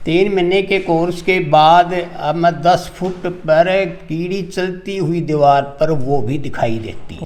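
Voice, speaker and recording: Speaking with hardly any pauses, a man with a high pitch and ordinary pitch variation is heard amid noticeable background noise and audible room echo. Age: 70s. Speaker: patient giving testimonial. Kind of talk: testimony.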